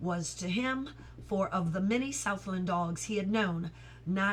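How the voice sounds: Natural reading voice, pitch moving in an ordinary way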